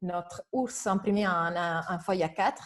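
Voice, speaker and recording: With a strong non-native accent, a woman talks at a fairly slow pace with ordinary pitch variation against a quiet background. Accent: strong foreign accent in French. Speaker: educational robotics presenter. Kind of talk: webinar presentation. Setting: online webinar. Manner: hesitant, many fillers.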